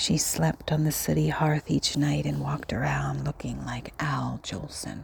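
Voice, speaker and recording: With noticeable background noise behind it, the speech moves at a fairly slow pace with hardly any pauses. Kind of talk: literary poem reading, performed storytelling. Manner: theatrical, animated, wry and mocking, with dramatic sighs and sing-song flourishes; storyteller voice addressing listeners like children.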